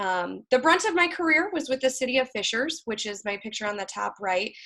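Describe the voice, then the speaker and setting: At a fairly quick pace, a woman talks in a bright, sharp tone. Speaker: public relations director and workshop presenter. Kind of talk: online career workshop presentation. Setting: video call. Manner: fast.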